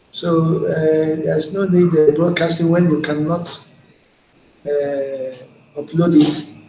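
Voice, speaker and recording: Amid noticeable background noise and audible room echo, a man with a fairly high pitch speaks very slowly in a monotone, flat delivery, with long, frequent pauses. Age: 70s. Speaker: online broadcaster. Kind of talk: live video broadcast monologue. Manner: halting with frequent fillers.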